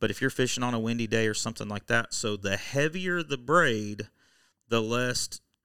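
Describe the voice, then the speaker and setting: On a very clean recording with a silent background, a man with an American accent speaks at a medium pitch with ordinary pitch variation and a bright, sharp tone. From Oklahoma. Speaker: electronics repair business owner and tournament angler. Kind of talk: casual interview.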